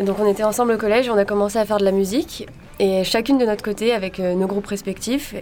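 This woman talks at a very fast pace. Her intonation stays fairly even. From southern France, Var. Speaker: drummer. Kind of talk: interview.

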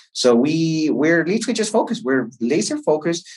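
A man with a Chilean accent, talking at a fairly quick pace with very wide pitch swings. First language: Spanish. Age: 30s. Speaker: entrepreneur and MBA student. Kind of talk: interview. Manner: halting, with frequent fillers and repetitions.

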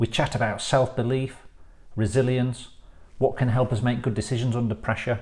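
A man's somewhat breathy voice at medium pitch, with ordinary pitch variation. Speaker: podcast host. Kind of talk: casual interview.

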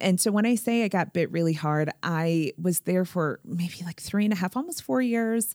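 A woman with an American accent speaks in an unremarkable speaking voice at medium pitch with ordinary pitch variation, at a moderate pace with hardly any pauses. The recording is very clean, with a silent background and a dry, close sound with no echo. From Springfield, Massachusetts, US. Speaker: health tech founder and CEO. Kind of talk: interview. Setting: in person, face to face.

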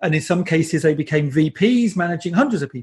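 Fairly quick speech with lively intonation, in a British accent. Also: man. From England. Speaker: design agency CEO and conference organiser. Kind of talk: interview.

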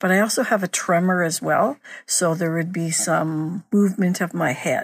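A woman with a normal speaking voice and a fairly low pitch keeps a moderate pace, varying her pitch in an ordinary way. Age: 60s. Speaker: person living with dystonia. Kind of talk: testimony.

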